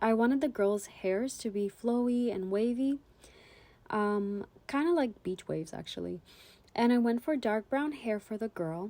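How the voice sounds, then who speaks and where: A woman's fairly high voice with a dark, mellow tone and a non-native accent, ordinary pitch variation, a moderate pace, and a very clean recording with a silent background. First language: not English. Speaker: art YouTuber. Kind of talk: casual voiceover narration. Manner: hesitant, many fillers.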